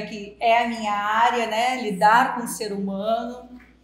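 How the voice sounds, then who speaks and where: Amid audible room echo, a woman with a slight gaúcho accent speaks in a fairly high, monotone voice with flat intonation. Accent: slight gaúcho accent, still somewhat strong. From southern Brazil (Rio Grande do Sul). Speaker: psychologist. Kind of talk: podcast interview.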